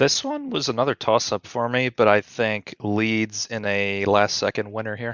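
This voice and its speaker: Speaking at a moderate pace with hardly any pauses, a man keeps a medium pitch and a monotone, flat intonation. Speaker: football podcast guest. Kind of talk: casual chat.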